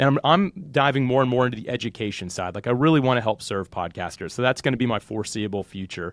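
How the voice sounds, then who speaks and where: Talking at a very fast pace with hardly any pauses, a man uses lively intonation at a medium pitch. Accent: American. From US South, Jacksonville, Florida. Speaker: podcast software founder and podcast host. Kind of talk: interview conversation.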